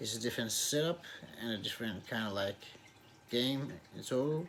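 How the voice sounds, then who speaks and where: Here a man talks at a medium pitch with ordinary pitch variation. His pace is moderate. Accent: Danish. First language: Danish. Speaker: YouTuber reviewing movies and TV. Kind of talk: casual vlog outro. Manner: halting, many repetitions.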